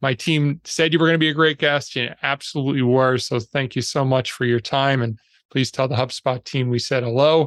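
An ordinary speaking voice moves at a fairly quick pace with fairly even intonation. The sound is dry and close with no echo, over a quiet background. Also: man, medium pitch for a man. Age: 50s. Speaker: podcast host. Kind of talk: interview.

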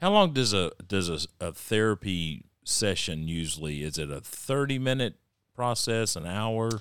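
With a Texan accent, a man talks at a fairly slow pace and fairly low pitch, his intonation lively, on a very clean recording with a silent background. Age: 50s. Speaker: county judge and podcast host. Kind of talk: casual interview.

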